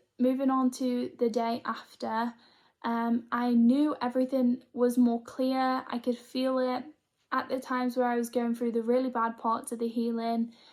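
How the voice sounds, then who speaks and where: A woman with a British accent speaks fairly slowly at a high pitch in a monotone, flat intonation. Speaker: spiritual healer and vlogger. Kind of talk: casual vlog monologue. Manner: scattered, hesitant.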